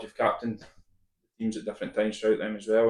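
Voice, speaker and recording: A man in a Scottish accent, medium in pitch. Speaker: football manager. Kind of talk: casual chat.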